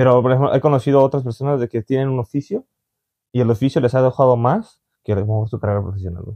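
The backdrop is quiet. Against it, a man talks very fast. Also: ordinary pitch variation. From Mexico. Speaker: vlogger and interviewer. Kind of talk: casual interview chat. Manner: halting, with many fillers. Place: home room.

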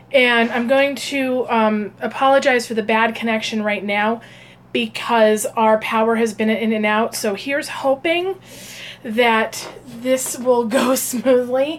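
Speaking at a fairly slow pace, a woman uses a fairly high pitch with ordinary pitch variation. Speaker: psychic and meditation channel host. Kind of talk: casual live stream cooking talk. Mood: relaxed, friendly.

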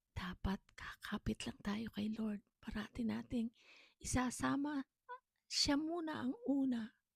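Recorded with a dry, close sound and no echo, a woman talks at a very slow pace with a fairly high pitch and ordinary pitch variation. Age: 60s. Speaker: storyteller vlogger. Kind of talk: personal testimony.

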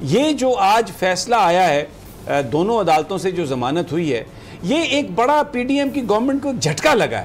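Speaking at a moderate pace with few pauses, a man uses a high pitch and big pitch swings.

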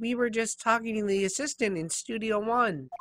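In a put-on character voice, a man speaks at a moderate pace, high-pitched, strained and raspy. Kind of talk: comic overacting, video game voice-over. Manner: cantankerous, scolding.

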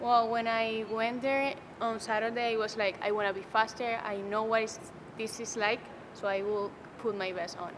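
Over noticeable background noise, a woman with a Spanish accent talks in a monotone, flat way. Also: fairly high pitch for a woman, moderate pace. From Venezuela. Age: young. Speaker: college sprinter. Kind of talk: interview. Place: hall.

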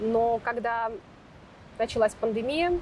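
A fairly high-pitched woman at a moderate pace, the sound dry with no echo, with light background noise. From Stavropol region, Russia; Russia. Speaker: founder of a social health project. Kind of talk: interview about healthy lifestyle. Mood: calm, reflective. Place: garden. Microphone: lapel.

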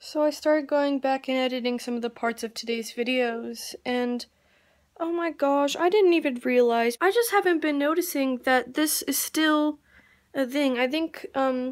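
A high female voice at a moderate pace, with ordinary pitch variation. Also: quiet background. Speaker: vlogger. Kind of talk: casual vlog chat. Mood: frustrated, slightly upset. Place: home room. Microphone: phone near.

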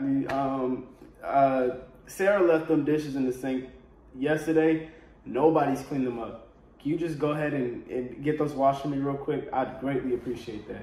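There is audible room echo and light background noise. A man speaks at a moderate pace with fairly even intonation. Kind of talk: comedic skit dialogue. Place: home room. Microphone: phone near.

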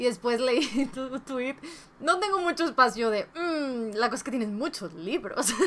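High-pitched female speech, moderately paced, with a lively, varied intonation. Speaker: book YouTuber. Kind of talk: casual vlog giving advice. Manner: Spanglish code-switching. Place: home room.

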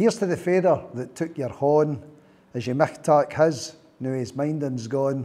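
Speaking with a Scottish accent, a man uses a fairly high pitch and a dark, mellow tone. His pace is fairly slow. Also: ordinary pitch variation. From Scotland. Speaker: poet. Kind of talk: poetry reading. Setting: live workshop audience. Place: meeting room. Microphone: lapel.

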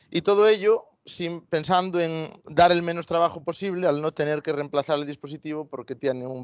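A man with a Galician accent at a moderate pace, ordinary pitch variation, dry sound with no echo, quiet background. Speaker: veterinarian and agritech founder; presenter. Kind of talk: product presentation. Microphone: video call.

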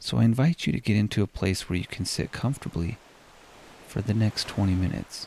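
A man's fairly low voice carries a calm, soothing and dark, mellow tone, his intonation lively. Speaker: hospice chaplain and meditation podcast host. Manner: slow, soothing pace with gentle breathing cues; calm, invitational second-person instructions.

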